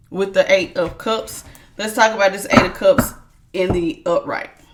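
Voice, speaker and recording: A woman speaks loudly at a moderate pace. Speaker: tarot reader. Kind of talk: tarot reading. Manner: authoritative.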